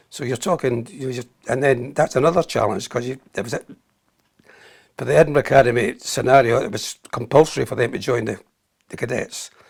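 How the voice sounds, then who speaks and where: A man with a Scottish accent at a medium pitch, somewhat breathy and fairly quick, with long, frequent pauses and big swings in loudness. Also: ordinary pitch variation. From Scotland. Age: 80s+. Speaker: army veteran. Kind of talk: interview.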